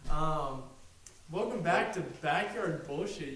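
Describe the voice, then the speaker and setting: Noticeable background noise and audible room echo around a man's fairly slow speech. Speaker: podcast co-host. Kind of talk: casual chat. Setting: home garage. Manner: halting, many fillers.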